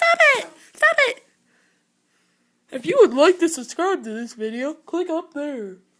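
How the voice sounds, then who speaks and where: A squeaky, high-pitched cartoonish character voice moves at a moderate pace, broken by long, frequent pauses. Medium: puppet show. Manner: snarky, whiny.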